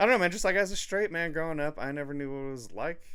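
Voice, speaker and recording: A man mumbles as he talks. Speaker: podcast host. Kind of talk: casual chat. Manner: mumbling.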